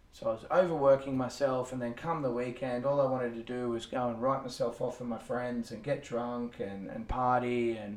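With a normal speaking voice, a man at medium pitch talks at a moderate pace with fairly even intonation and hardly any pauses. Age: 30s. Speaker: fitness coach and podcast co-host. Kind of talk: casual chat.

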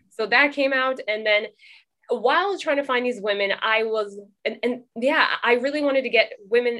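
A woman with a West Coast accent speaks at a moderate pace in a high pitch. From California (Oxnard), Trinidadian parents. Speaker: documentary filmmaker. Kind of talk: casual interview.

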